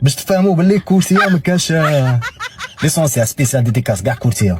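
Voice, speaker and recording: A man's pitch swings very widely as noticeable background noise fills the recording. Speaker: prank caller content creator. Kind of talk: casual address to viewers; prank phone call. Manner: disguised voice and dialect on calls.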